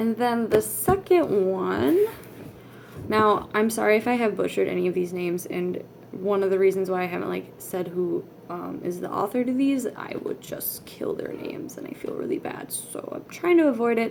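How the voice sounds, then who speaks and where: A woman speaks at a moderate pace with big swings in loudness. Noticeable background noise is present. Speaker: manga vlogger. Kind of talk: casual vlog talk. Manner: halting, many fillers.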